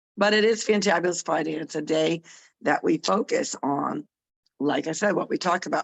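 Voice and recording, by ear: Putting on a raspy character voice, a woman speaks fairly quickly at a fairly low pitch with ordinary pitch variation.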